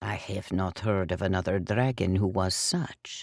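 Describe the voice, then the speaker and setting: In a put-on character voice, a man talks at a moderate pace with a very deep, low pitch and fairly even intonation. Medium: read story.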